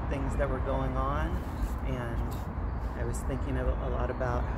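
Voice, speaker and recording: At a moderate pace, the speech runs over loud background noise. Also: man. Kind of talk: casual conversation. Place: garden.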